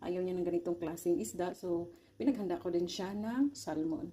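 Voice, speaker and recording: This woman's voice sits at a medium pitch with a dark, mellow tone. Her intonation is lively. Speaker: cooking vlogger. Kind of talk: cooking tutorial. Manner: halting.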